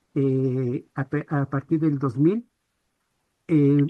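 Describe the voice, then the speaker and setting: This woman's voice sits very deep and low. She talks very slowly. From Ecuador, Quito. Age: 60s. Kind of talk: webinar audience comment.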